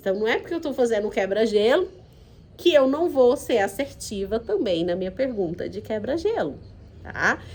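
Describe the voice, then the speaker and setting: A woman with a central Brazilian accent and a fairly high pitch speaks with very wide pitch swings. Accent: Goiás, central Brazilian countryside. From Goiás, Brazil. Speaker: HR consultant and course instructor. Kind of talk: online course lecture. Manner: calm, unhurried.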